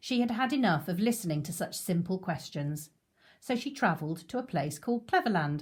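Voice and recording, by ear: The intonation here is lively. Someone is reading aloud in a natural voice.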